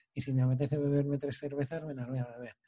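At a very fast pace, a man speaks with monotone, flat intonation. His medium-pitched voice is somewhat breathy, with a dark, mellow tone. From Spain, Valladolid province. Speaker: podcast host, patient with muscular dystrophy. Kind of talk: casual interview conversation.

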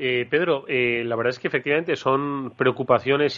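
A man in a Spanish accent with fairly even intonation. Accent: Peninsular Spanish. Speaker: radio host. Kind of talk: radio talk show interview. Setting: radio studio, live broadcast. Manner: hesitant, with fillers and repeated words.

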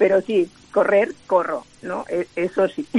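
Noticeable background noise sits behind a woman whose medium-pitched voice shows ordinary pitch variation. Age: 60s. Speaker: world champion sprinter and author. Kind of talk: interview.

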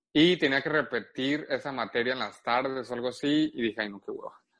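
A fairly quick pace with ordinary pitch variation. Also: man. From Guadalajara, Mexico. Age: 20s. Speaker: social media gossip creator. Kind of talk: casual chat. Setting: remote from Puerto Vallarta.

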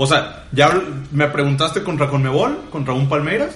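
Over music in the background and with audible room echo, a man talks with a fairly high pitch and fairly even intonation. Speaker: football podcast co-host. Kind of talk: casual football debate.

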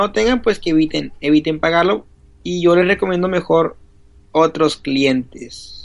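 A man speaks at a fairly slow pace with lively intonation. Noticeable background noise runs under his voice. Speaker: podcast co-host. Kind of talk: casual chat. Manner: halting. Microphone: built-in Mac laptop mic.

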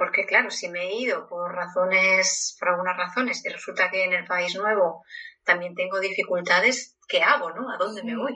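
At a moderate pace, a woman talks in a normal speaking voice with a medium pitch and ordinary pitch variation. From Spain. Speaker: psychologist. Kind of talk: interview.

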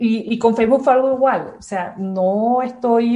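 Moving at a fairly slow pace, this voice carries a dark, mellow tone. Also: woman. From Venezuela, Caracas. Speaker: university physics lecturer. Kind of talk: interview.

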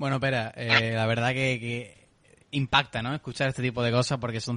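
Over a quiet background, a man with a southern Spanish accent speaks at a fairly quick pace in a bright, sharp tone, with a dry, close sound and no echo. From southern Spain. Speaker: podcast host. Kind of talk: casual chat.

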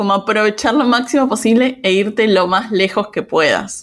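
A woman with an Argentine accent at a moderate pace, ordinary pitch variation, on a very clean recording with a silent background. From Argentina. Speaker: digital nomad and podcaster. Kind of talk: interview.

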